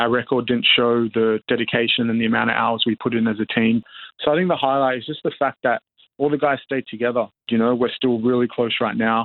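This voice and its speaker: A man with an Australian accent talks at a fairly quick pace, his medium pitch holding fairly even intonation. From Perth, Western Australia (born South Sudan). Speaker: professional basketball player. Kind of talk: interview. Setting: remote call from New Zealand.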